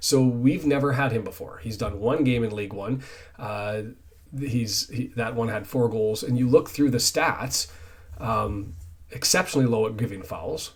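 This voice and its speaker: Speaking at a fairly quick pace, a man uses a somewhat breathy, medium-pitched voice with ordinary pitch variation. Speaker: football fan channel host. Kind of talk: solo football preview talk. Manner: stumbling over words; casual, conversational.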